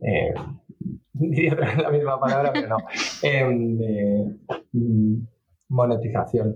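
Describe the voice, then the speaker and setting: At a very slow pace with long, frequent pauses, a man speaks at medium pitch, with very even loudness and ordinary pitch variation. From England. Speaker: startup CEO and software engineer. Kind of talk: interview. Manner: halting.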